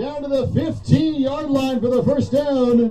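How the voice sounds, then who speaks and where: A man speaks in an excited tone with music in the background. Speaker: sports commentator. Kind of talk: live sports commentary, play-by-play. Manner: excited, rising on touchdowns and big plays.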